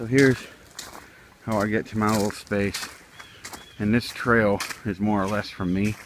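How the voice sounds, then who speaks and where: A man with a fairly low pitch speaks at a moderate pace in a flat monotone, with long, frequent pauses and noticeable background noise. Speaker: outdoors vlogger. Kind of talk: casual vlog narration. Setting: outdoors. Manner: mumbling.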